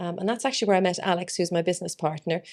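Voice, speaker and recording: In an Irish accent, a woman speaks with a fairly low pitch, fairly even intonation and vocal fry. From Ireland, Dublin. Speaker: plant business owner. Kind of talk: interview. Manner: casual with frequent fillers.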